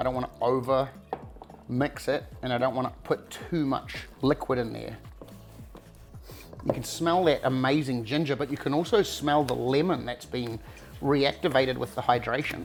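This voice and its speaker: With a New Zealand accent, a man speaks at a moderate pace and fairly even intonation, leaving long, frequent pauses while faint music plays in the background. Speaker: cooking show host; home cook host. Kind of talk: cooking tutorial. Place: kitchen.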